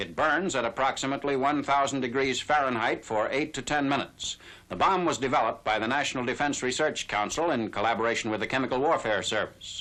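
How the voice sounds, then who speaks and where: Speaking at a very fast pace with hardly any pauses, a man has a bright, sharp tone. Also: medium pitch for a man, ordinary pitch variation. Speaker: newsreel narrator. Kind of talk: newsreel narration.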